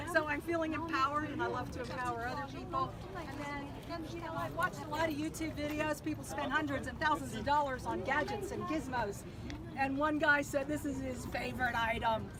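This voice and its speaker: Speech in an American accent at a fairly quick pace, with audible room echo and crowd noise in the background. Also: woman. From Pennsylvania, near Pittsburgh. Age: 60s. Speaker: car dweller, traveling saleswoman. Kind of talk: casual show-and-tell tour. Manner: animated.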